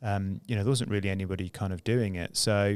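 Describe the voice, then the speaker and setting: A man speaks with a British accent at a fairly low pitch and fairly even intonation. The recording is very clean, with a silent background. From UK. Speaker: entrepreneur. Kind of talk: casual interview chat. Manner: hesitant, many fillers.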